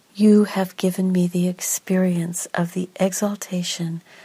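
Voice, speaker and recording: A woman's medium-pitched, dark, mellow voice, somewhat breathy, soothing and calm, at a fairly slow pace with monotone, flat intonation. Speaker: doula and meditation narrator. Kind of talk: guided meditation. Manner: slow, soft, soothing, calm.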